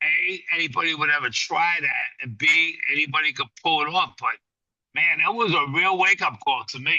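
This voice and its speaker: In a New York accent, a man talks at a moderate pace with a high pitch and ordinary pitch variation. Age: 60s. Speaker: boxing trainer. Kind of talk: casual interview. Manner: animated.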